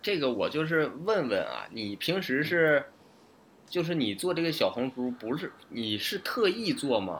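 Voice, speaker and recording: At a fairly slow pace, a man speaks with a fairly high pitch and vocal fry. His pitch swings very widely. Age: late 20s. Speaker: podcast co-host. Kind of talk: casual chat. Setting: online remote recording.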